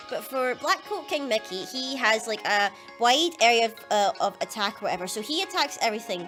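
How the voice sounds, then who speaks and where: Over background music, a woman talks at a fairly quick pace in a fairly high pitch. Her pitch swings very widely. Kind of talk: casual gaming commentary.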